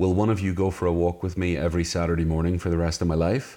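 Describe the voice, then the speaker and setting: A man in a Northern Irish accent talks at a very fast pace with a very deep, low pitch against a quiet background. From Northern Ireland, Belfast. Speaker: author. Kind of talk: interview. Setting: in person, same room.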